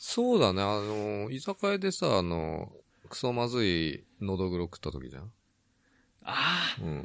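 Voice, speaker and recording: A man talks at a fairly slow pace in a normal speaking voice. His pitch is fairly low and his intonation lively. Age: 50s. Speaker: podcast co-host. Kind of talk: casual chat. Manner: laughs often.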